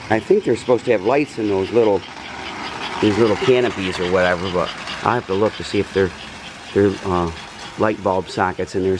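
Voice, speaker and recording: A quiet man with a fairly low pitch and fairly even intonation, against noticeable background noise. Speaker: model train hobbyist. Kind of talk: casual video narration. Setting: home, upstairs room. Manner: quiet, subdued.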